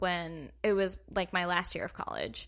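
A bright, sharp-toned woman with an American accent, medium in pitch, fairly even in intonation, at a fairly slow pace against a quiet background. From US South, Kentucky. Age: 20s. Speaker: comedy writer. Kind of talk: casual chat.

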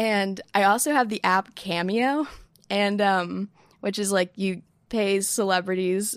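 The pitch varies in an ordinary way. It is an ordinary speaking voice. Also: woman. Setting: home desk, remote recording. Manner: chatty, self-deprecating, jokey.

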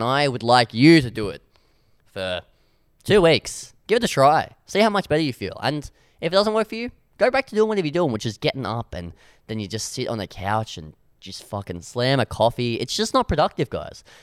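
An animated man with an Australian accent talks fairly quickly at a medium pitch, with very wide pitch swings and big swings in loudness, in a dry, close, very clean recording with no echo and a silent background. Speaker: radio comedy host. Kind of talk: casual radio chat. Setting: radio studio. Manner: rambling, animated.

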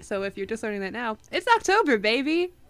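Very wide pitch swings from a woman, noticeable background noise behind her. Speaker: podcast co-host. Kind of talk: casual chat.

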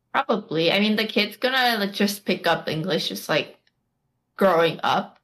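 With a Korean accent, a woman talks at a moderate pace on a very clean recording with a silent background. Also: medium pitch for a woman, ordinary pitch variation. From United States. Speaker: podcast co-host. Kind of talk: casual chat.

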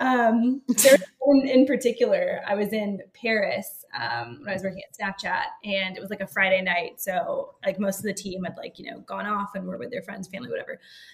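With an American accent, a woman talks at a moderate pace with big swings in loudness over noticeable background noise. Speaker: founder of a travel company. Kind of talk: casual interview conversation.

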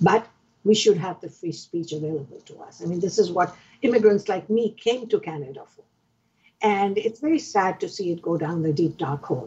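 The voice is somewhat breathy, with lively intonation and big swings in loudness. The pace is fairly quick. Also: woman, medium pitch for a woman. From Pakistan. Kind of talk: interview.

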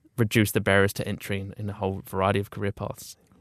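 A man with a New Zealand accent speaks very fast at a fairly low pitch. The sound is dry and close with no echo, on a very clean recording with a silent background. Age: 20s. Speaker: creative agency founder. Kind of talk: interview.

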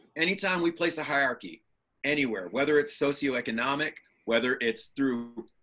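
A man with an American accent speaks in a fairly high pitch with a bright, sharp tone. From Chicago. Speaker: actor. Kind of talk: casual interview chat.

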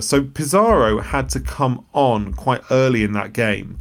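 With an unremarkable speaking voice, a man talks in a medium pitch with ordinary pitch variation. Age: 30s. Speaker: football journalist. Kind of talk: casual chat.

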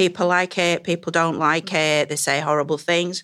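A woman with a very deep, low pitch and a bright, sharp tone speaks in a flat monotone with a Yorkshire accent on a very clean recording with a silent background. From northern England. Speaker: Egyptologist. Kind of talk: panel discussion.

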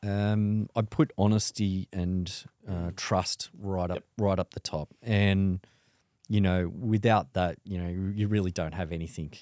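Very deep and low, a man's voice carries a dark, mellow tone and an Australian accent, with fairly even intonation. The recording is very clean with a silent background, dry and close with no echo. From Sydney, Australia. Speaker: wealth manager. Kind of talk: interview. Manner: hesitant, many fillers.

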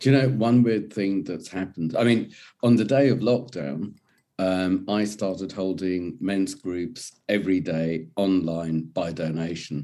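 Someone speaks at a fairly slow pace in an English accent with a dark, mellow tone. The recording is very clean, with a silent background. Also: man, very deep, low pitch for a man, ordinary pitch variation. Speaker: men's mental health coach. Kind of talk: casual interview chat.

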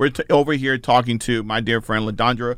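Recorded very cleanly against a silent background, a man with an American accent talks at a very fast pace. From suburban New Jersey. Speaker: podcast host and educator. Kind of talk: interview conversation.

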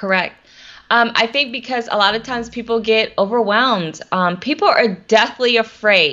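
Speaking at a moderate pace with an American accent, a woman has a normal speaking voice, a fairly high pitch and ordinary pitch variation. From US South, Atlanta, Georgia. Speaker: social media strategist. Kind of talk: interview. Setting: live video stream.

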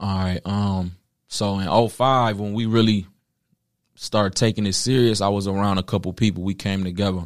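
A man's fairly low voice with an American accent, an ordinary speaking voice at a moderate pace with fairly even intonation, on a very clean recording with a silent background. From Philadelphia, then Detroit and Toledo, Ohio. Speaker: battle rapper. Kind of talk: casual interview.

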